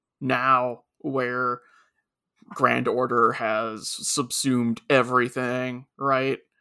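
Over a silent background in a very clean recording, a man talks very slowly at a medium pitch, his bright, sharp tone delivered in a monotone, flat intonation. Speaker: podcast co-host, anime reviewer. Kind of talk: casual chat.

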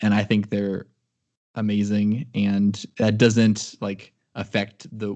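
A man with a Midwestern American accent speaks fairly slowly in a fairly low pitch. The background is quiet. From US Midwest. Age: 20s. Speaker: computer engineer. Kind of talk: casual chat. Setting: video call.

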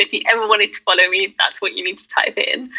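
A woman with a British accent. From UK. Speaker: content creator. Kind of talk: casual chat.

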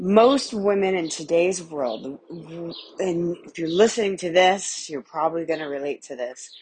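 The speaker is a woman. Her intonation is lively. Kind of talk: pep talk. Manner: warm, earnest and encouraging, speaking straight to the listener; heartfelt and emphatic, repeating key phrases for emphasis.

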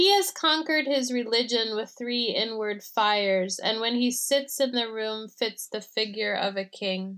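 In a plain, everyday voice, a woman talks at a fairly slow pace with hardly any pauses, a fairly high pitch and ordinary pitch variation, on a very clean recording with a silent background. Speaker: poet. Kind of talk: poem reading.

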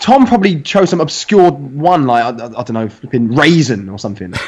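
A man talks at a fairly quick pace with a fairly high pitch. His pitch swings very widely and his loudness jumps a lot. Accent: East London. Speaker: fitness podcast guest. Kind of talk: casual banter.

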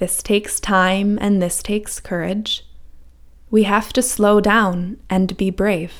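A woman speaks at a very slow pace with monotone, flat intonation. The recording is very clean, with a silent background. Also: medium pitch for a woman. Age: 30s. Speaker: wellness coach and podcast host. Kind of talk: scripted monologue.

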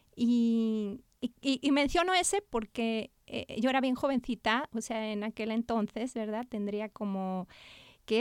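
On a very clean recording with a silent background, a woman speaks at a fairly slow pace and fairly high pitch in a plain, everyday voice. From Spain. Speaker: children's author and art therapist. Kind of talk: interview.

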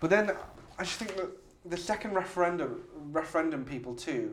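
Against noticeable background noise, a man talks at a fairly quick pace and high pitch with lively intonation. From Hull, England. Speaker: podcast host. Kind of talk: casual chat. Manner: animated, joking.

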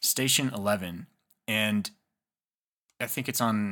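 A man's bright, sharp, fairly low-pitched voice on a very clean recording with a silent background. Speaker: podcast host. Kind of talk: casual conversation.

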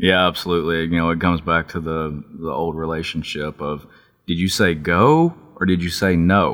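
With a Texan accent and a very deep, low pitch, a man speaks at a moderate pace in a flat monotone on a very clean recording with a silent background. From Texas. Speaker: outdoor TV videographer. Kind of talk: casual interview. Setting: office.

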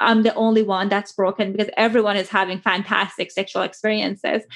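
A woman speaks at a fairly high pitch with an Iranian accent. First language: Persian. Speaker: clinical psychologist and sex therapist. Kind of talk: interview.

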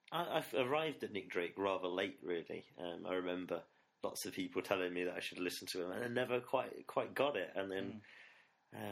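Someone with an East Midlands accent talks at a fairly quick pace. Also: man. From England, Nottingham. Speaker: music fan, former student radio presenter. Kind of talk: casual interview. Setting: studio.

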